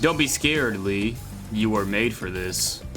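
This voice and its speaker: A man's put-on character voice, fairly low in pitch, over loud music in the background. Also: moderate pace. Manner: eerie, reassuring.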